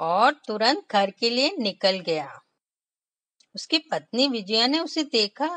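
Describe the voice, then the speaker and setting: A woman talks in a raised, projected voice with a bright, sharp tone. Her pitch swings very widely. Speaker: storyteller for children. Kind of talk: children's read story. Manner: expressive, voice modulation.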